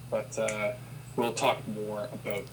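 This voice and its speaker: Flat, monotone male speech in a Canadian accent, with audible room echo and noticeable background noise. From Ontario, Canada. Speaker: person who stutters, interviewee. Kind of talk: interview. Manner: halting, with repetitions.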